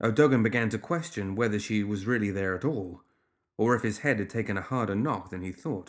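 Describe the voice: Quiet background, ordinary pitch variation, plain reading aloud.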